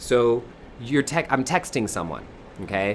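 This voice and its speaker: With an American accent, a man talks in an animated tone at a medium pitch, using ordinary pitch variation. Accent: southern US accent, temporary. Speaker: spiritual teacher and singer. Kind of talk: live online workshop talk.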